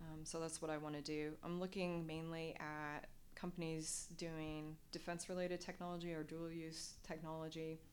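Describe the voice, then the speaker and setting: In a room with audible echo, a woman speaks at a moderate pace in a fairly low pitch with monotone, flat intonation. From US Midwest, Nebraska. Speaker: former military pilot and doctoral student. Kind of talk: interview. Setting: in-person interview.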